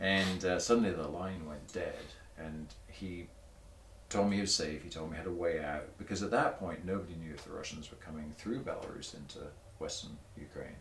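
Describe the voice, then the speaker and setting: A man speaks at a very deep, low pitch with ordinary pitch variation. His voice is somewhat breathy, with audible room echo. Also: big swings in loudness. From southern England, Torbay (Devon coast). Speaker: motorcycle journalist. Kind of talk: casual chat. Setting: garage.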